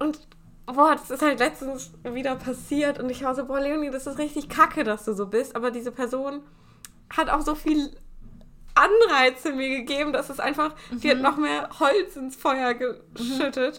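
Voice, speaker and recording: This woman's high-pitched voice has a bright, sharp tone. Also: fairly even intonation, moderate pace. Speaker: podcast co-host. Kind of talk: casual chat.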